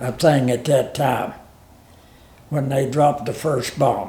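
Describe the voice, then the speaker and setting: A man speaks very slowly in an Appalachian accent, his voice somewhat breathy and fairly high-pitched. His tone is dark and mellow, with audible room echo. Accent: Appalachian Southern American. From US South, Virginia. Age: 90s. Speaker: war veteran. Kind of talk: interview testimony. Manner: halting.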